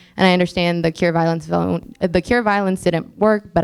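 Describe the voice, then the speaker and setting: Someone with an American accent speaks at a fairly quick pace on a very clean recording with a silent background. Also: woman. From Peoria, Illinois, US. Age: 20s. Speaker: council candidate. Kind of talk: candidate forum opening statement. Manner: casual, with fillers.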